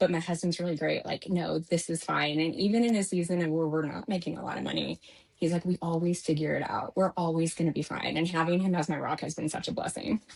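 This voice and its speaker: Very fast, fairly even speech in an American accent with hardly any pauses, over noticeable background noise. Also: woman, fairly low pitch for a woman. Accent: slight Texas-Georgia twang. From Texas. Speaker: new home sales professional. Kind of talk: interview conversation.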